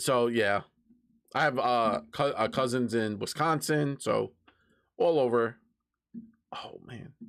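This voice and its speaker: A man with a strong New York accent, medium pitch, ordinary pitch variation, a very slow pace with long, frequent pauses, and big swings in loudness. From New York City (Brooklyn, Queens). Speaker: streamer. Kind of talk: casual live-stream chat. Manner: halting, repeats words.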